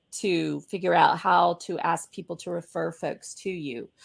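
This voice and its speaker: Lively intonation and vocal fry mark a woman's speech on a very clean recording with a silent background. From US South. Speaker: business coach and show host. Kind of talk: casual interview chat. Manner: animated.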